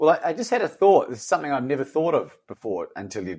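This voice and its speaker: A man speaks at a fairly quick pace. The recording is very clean, with a silent background. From Australia. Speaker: coach and author. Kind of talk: casual interview conversation.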